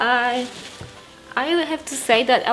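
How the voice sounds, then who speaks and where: Heard over noticeable background noise, the speaker talks at a very slow pace with a Polish accent. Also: woman. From Poland. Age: 30s. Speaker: lifestyle and motherhood vlogger. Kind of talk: casual Q&A vlog.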